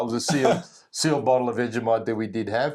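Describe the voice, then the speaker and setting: A man's medium-pitched voice with an Australian accent, ordinary pitch variation, and a fairly quick pace, on a very clean recording with a silent background. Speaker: travel vlogger. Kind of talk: casual chat.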